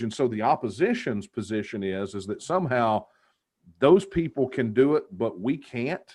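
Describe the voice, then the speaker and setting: Against a quiet background, a man in a Texas accent speaks at medium pitch and a moderate pace. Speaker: political activist. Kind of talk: interview. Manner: animated.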